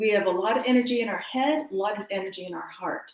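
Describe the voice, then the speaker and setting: A woman with a plain, everyday voice, fairly high in pitch, with ordinary pitch variation. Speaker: wellness teacher. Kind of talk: guided exercise class.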